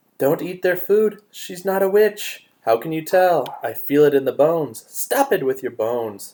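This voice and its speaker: A man puts on a character voice pitched high. He speaks at a moderate pace with hardly any pauses. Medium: read story. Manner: blunt, quarrelsome.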